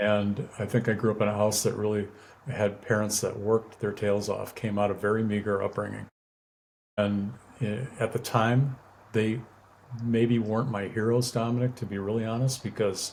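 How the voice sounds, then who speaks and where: At a moderate pace, a man with a fairly low, somewhat breathy voice speaks in a monotone with flat intonation. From US Midwest, suburb of Milwaukee, Wisconsin. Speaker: prison ministry volunteer, sight-impaired guest. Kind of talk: interview testimony. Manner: halting, many fillers and repeated words.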